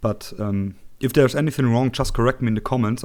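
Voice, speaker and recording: Over a silent background in a very clean recording, a man with a medium-pitched voice talks at a fairly quick pace. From Germany. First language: German. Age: 20s. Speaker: tech tutorial youtuber. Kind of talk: tutorial. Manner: halting, many fillers.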